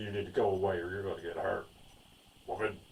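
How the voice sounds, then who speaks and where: Speaking at a fairly quick pace, a man has a fairly low, somewhat breathy voice. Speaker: movie reviewer. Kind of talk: casual chat. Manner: monotone. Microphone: backup mic, poor audio.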